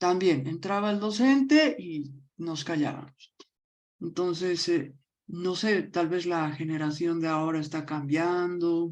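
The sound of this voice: The voice moves at a slow pace, with a slightly mellow tone and ordinary pitch variation. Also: woman, fairly low pitch for a woman.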